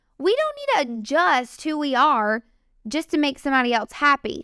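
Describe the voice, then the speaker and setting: Loud and bright with a sharp tone, a woman speaks at a high pitch with very wide pitch swings, at a moderate pace, in a dry, close sound with no echo. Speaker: podcast host. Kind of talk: faith-based encouragement podcast monologue. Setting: studio microphone. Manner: energetic.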